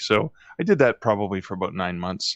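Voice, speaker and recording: He has a normal speaking voice, pitched fairly low for a man. This man talks at a fairly quick pace in a Canadian accent. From Canada, mid-northern Ontario. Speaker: author. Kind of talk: interview.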